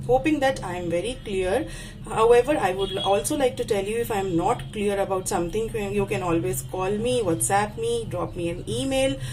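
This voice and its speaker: A woman speaks at a moderate pace and medium pitch, her pitch swinging very widely. Audible room echo and noticeable background noise are present. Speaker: university lecturer. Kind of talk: lecture. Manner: halting, self-correcting.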